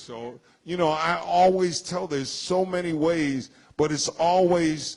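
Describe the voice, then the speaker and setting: A plain, everyday voice from a man, fairly high in pitch, with ordinary pitch variation and a fairly slow pace. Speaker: radio DJ and voiceover artist. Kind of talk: casual interview.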